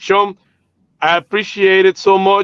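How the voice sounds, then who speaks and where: A man speaks with a dry, close sound that has no echo. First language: Spanish. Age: 30s. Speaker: mortgage company CEO. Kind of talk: live show interview. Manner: halting, many fillers.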